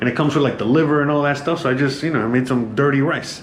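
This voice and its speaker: A man speaks with an American accent and fairly even intonation. Noticeable background noise and audible room echo surround his voice. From United States. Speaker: home cooking vlogger. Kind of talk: casual kitchen tour vlog. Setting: home kitchen. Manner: casual, filler-heavy and halting.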